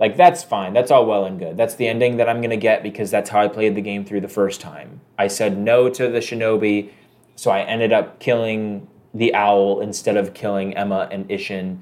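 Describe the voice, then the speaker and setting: He has an ordinary speaking voice, fairly low in pitch with ordinary pitch variation, and talks at a moderate pace. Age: 20s. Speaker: video game podcast co-host. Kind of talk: casual chat.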